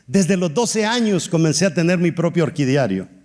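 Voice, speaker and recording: A man's high-pitched voice with lively intonation. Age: 60s. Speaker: pastor. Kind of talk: sermon.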